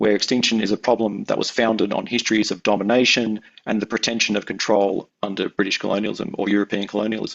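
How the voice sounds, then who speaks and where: A man with an Australian accent talks very fast in a fairly low voice, his intonation flat and monotone. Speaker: anthropologist researcher. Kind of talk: academic talk. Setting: webinar. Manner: halting, many fillers and repeats.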